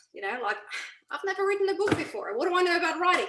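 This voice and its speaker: A woman's bright, sharp tone. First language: not English. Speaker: mindset coach and author. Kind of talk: interview. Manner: hesitant, many fillers.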